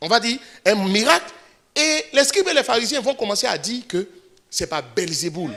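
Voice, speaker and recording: The voice is raised and projected, with very wide pitch swings. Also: man. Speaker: pastor. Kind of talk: sermon. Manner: fast; animated.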